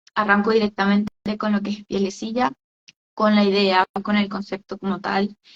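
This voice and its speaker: Somewhat breathy and at medium pitch, a woman speaks at a moderate pace with monotone, flat intonation. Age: 20s. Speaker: entrepreneur, skincare business owner. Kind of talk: interview on a live stream. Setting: online live stream. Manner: hesitant, many fillers.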